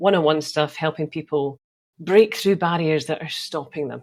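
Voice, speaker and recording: This woman's pitch is very deep and low, with ordinary variation. She talks at a fairly quick pace on a very clean recording with a silent background. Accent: slight Scottish. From Scotland. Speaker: optometrist and sales coach. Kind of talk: podcast interview.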